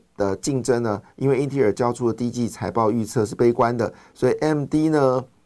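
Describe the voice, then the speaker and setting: The man talks at a moderate pace, his pitch varying in an ordinary way, on a very clean recording with a silent background. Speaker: finance podcast host. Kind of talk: market commentary monologue. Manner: animated, many fillers.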